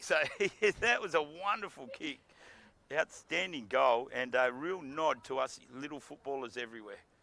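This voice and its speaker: A man with an Australian accent speaks at a moderate pace, his pitch fairly high. His intonation is lively and his tone bright and sharp. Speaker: football commentator. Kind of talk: live commentary. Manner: animated.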